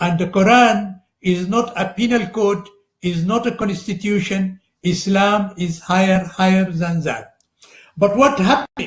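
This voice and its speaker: Here a man talks fairly slowly at a high pitch with an Arabic accent. His pitch variation is ordinary. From Sudan. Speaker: religious scholar. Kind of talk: lecture. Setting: live broadcast. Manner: halting, with frequent fillers.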